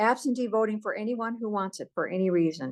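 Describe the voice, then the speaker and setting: At a moderate pace, a woman speaks with ordinary pitch variation in an unremarkable speaking voice, with a dry, close sound with no echo over a quiet background. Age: 60s. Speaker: activist. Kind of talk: political advocacy talk.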